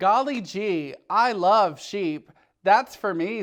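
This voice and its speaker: A man puts on a character voice pitched high. He speaks at a very slow pace. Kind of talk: bedtime story. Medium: read story. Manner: emphatic, exclaiming catchphrases.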